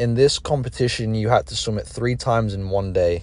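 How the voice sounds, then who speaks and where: A man with a British accent, medium pitch, ordinary pitch variation, a somewhat breathy voice and a moderate pace. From England, raised in Dubai. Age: 20s. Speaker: podcast host and college swimmer. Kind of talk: scripted narration.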